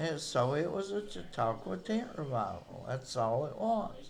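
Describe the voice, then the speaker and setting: A man talks with a Southern Appalachian accent. His pace is very slow and his pitch swings very widely. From East Tennessee. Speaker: amateur historian. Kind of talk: casual commentary to camera.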